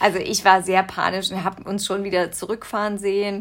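A woman of medium pitch, in an ordinary speaking voice. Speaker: podcast co-host, mother. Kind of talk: casual chat.

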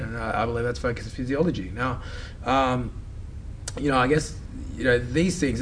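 Very fast male speech broken by long, frequent pauses, with audible room echo and noticeable background noise. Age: 30s. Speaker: fitness and mindset coach. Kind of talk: casual interview chat. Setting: studio.

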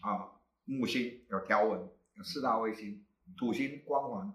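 A man talks with very wide pitch swings. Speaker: astronomy club founder and teacher. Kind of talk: casual panel talk.

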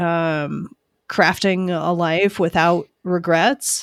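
With a plain, everyday voice, a woman talks at a fairly low pitch and fairly even intonation, captured in a very clean recording with a silent background. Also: dry, close sound with no echo. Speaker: podcast host. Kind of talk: interview conversation.

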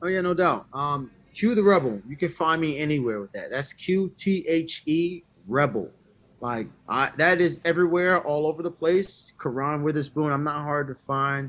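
A man with an American accent and fairly high pitch, ordinary pitch variation, moderate pace, quiet background. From Baltimore, Maryland, US. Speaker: musician and composer. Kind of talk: interview. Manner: animated.

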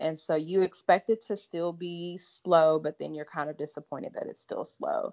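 With an American accent, a woman speaks at a moderate pace in an ordinary speaking voice, fairly low in pitch with ordinary pitch variation and big swings in loudness, the sound dry and close with no echo over a quiet background. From US South, Lake Charles, Louisiana. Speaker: allergist and immunologist. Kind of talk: interview conversation.

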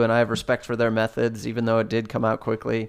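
This man speaks with a Southern accent. His pitch sits in the medium range. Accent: sounds Southern. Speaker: podcast co-host. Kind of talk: casual chat.

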